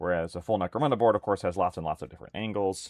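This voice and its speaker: Recorded dry and close with no echo, a man talks at a very fast pace. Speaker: miniatures hobby streamer. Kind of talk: casual live stream chat while painting. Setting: live stream with webcam. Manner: loud.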